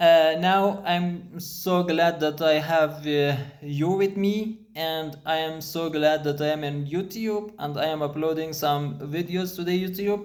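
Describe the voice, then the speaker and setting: With a non-native accent, a man talks at a fairly slow pace with hardly any pauses, his fairly high pitch and fairly even intonation heard through audible room echo and noticeable background noise. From Afghanistan. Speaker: programmer. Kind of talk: casual talk to camera. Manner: halting, many fillers.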